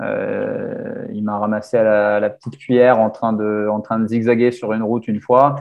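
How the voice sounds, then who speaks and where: A man talks at a moderate pace. He barely pauses. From grew up abroad, mostly outside France. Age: 20s. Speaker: ultra-endurance cyclist. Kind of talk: casual chat. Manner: halting, many hesitations.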